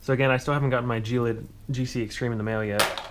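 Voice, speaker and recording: Over loud background noise, a man talks at a very fast pace in a monotone, flat delivery. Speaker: tech YouTuber building PCs. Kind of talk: hardware build tutorial. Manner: casual with fillers. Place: home room. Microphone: phone near.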